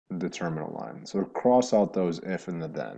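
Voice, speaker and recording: Very deep and low, this man's dark, mellow voice carries vocal fry and lively intonation. He keeps a moderate pace against a quiet background. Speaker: math teacher. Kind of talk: recorded math lesson for students. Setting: alone in his apartment. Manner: animated.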